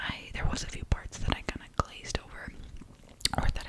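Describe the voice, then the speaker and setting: Someone is whispering. Noticeable noise sits in the background. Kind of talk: ASMR book review talking to camera. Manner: whispered, soft-spoken.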